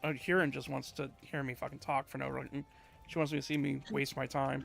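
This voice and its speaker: Noticeable background noise sits behind a man's voice. He speaks at a fairly quick pace with fairly even intonation. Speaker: streamer. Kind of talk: casual chat. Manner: loud; halting.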